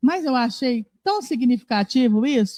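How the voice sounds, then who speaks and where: This woman's pitch swings very widely. Her sound is dry and close, without any echo. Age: 60s. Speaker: spiritist lecturer. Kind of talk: religious talk. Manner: conversational.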